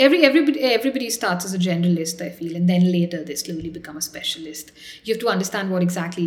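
A fairly low-pitched woman's voice over noticeable background noise. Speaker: doctor and startup founder. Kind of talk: interview.

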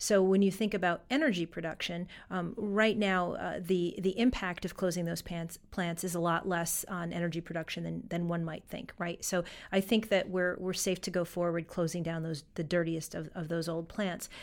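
On a very clean recording with a silent background, a woman with an ordinary speaking voice talks at a moderate pace with hardly any pauses, her fairly low pitch held in fairly even intonation. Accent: American. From western New York (Fredonia). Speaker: foundation director. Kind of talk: interview. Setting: studio.

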